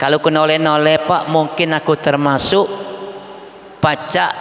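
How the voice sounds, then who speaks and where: A man speaks in an animated tone at a fairly high pitch. He keeps a moderate pace over noticeable background noise. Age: 60s. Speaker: Islamic preacher. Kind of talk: sermon. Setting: mosque event with audience. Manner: animated, interactive with audience.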